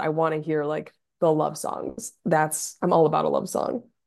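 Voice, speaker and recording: With some vocal fry, a woman speaks in a fairly low pitch at a moderate pace. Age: 30s. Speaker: legal operations worker and pop music fan. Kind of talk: casual chat.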